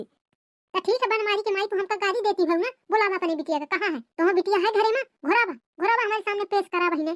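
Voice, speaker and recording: Putting on a squeaky character voice at an extremely high pitch, a woman rattles along at a fairly quick pace with hardly any pauses and ordinary pitch variation. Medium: cartoon. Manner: gossipy, accusatory, dramatic.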